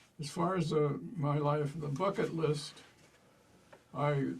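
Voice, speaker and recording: Audible room echo hangs around a voice with an American accent. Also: man. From Pennsylvania, Milton. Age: 80s+. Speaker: retired state trooper. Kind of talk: oral history interview. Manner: halting.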